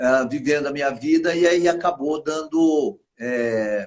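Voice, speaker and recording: With ordinary pitch variation, a man speaks at a very slow pace. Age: 60s. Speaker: political candidate, retired soldier. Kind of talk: interview. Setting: live stream video call. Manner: halting, with many fillers.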